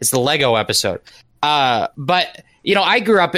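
A man's bright, sharp tone at a moderate pace, in a very clean recording with a silent background. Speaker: co-host. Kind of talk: casual chat.

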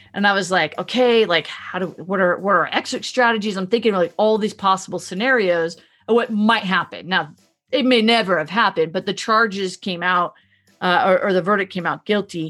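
A woman with a normal speaking voice talks at a fairly quick pace, medium pitch, and ordinary pitch variation. The recording is very clean, with a silent background. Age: 30s. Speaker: podcast host. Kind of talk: casual chat.

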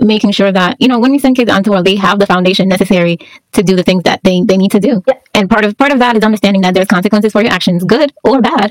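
A woman with an American accent talks at a very fast pace with hardly any pauses and very even loudness. Her medium-pitched voice shows ordinary pitch variation in a dry, close recording with no echo. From Jamaica. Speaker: podcast host. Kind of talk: casual interview.

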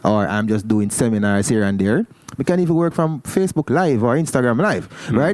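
A man talks with very wide pitch swings. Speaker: podcast co-host. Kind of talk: casual chat.

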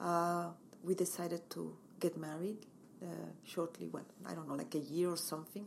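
A woman speaks with a Mexican accent at a moderate pace. Her pitch is fairly low, and her intonation stays fairly even. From Mexico. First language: Spanish. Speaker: interior designer and home stager. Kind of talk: interview.

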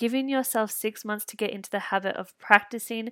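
An Australian accent marks this woman's monotone, flat delivery, heard dry and close with no echo in a very clean recording with a silent background. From rural Victoria, Australia. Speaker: podcast host, interior designer. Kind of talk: casual solo monologue.

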